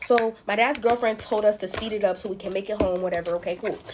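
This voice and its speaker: A woman speaks in an animated tone at a fairly high pitch and a moderate pace. Noticeable background noise is present. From US West, Pasadena and Las Vegas. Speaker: slime-making storyteller. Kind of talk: storytime while making slime.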